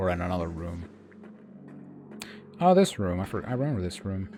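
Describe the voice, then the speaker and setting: Music plays in the background as a soft-spoken man talks at a moderate pace. His voice is very deep and low, with ordinary pitch variation. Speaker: gaming streamer. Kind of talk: gameplay commentary. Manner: halting.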